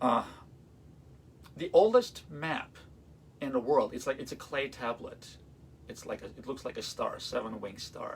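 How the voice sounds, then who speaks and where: A man with an Armenian accent speaks with big swings in loudness and long, frequent pauses. Noticeable background noise sits behind him. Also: moderate pace. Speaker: classical violinist. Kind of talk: live-streamed concert talk. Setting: livestream. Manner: halting, many fillers.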